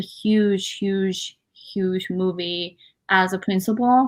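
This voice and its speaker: A woman with a Japanese accent on a very clean recording with a silent background. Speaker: author, actress and model. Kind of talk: interview. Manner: many fillers and hesitations.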